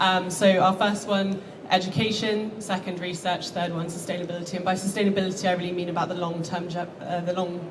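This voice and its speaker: Talking very fast with hardly any pauses, a woman at a medium pitch keeps a flat monotone amid audible room echo and noticeable background noise. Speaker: marine conservation charity founder. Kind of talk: conference talk. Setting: stage with audience.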